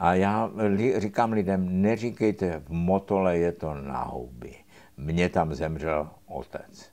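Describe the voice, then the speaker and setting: Very deep, low male speech with ordinary pitch variation, recorded very cleanly against a silent background. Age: 80s+. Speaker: surgeon, professor. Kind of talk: casual chat. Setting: motorcycle shop in Prague.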